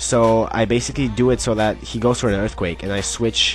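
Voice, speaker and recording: A man's lively intonation comes across with music playing in the background. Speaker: gamer narrating battles. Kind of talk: game commentary. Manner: fast; casual, hesitant.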